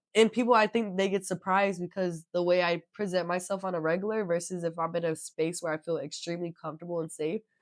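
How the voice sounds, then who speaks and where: Talking very fast with hardly any pauses, a woman uses a fairly low pitch and fairly even intonation. The sound is dry and close, with no echo. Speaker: podcast host. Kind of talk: casual chat. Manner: proper, articulate speech.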